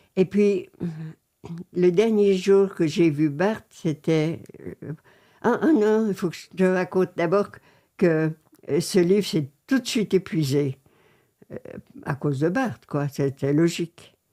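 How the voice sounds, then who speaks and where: Pausing long and often, a woman with a dark, mellow tone and a fairly low pitch speaks at a very slow pace. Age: 80s+. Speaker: former art book publishing worker. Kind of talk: interview answer.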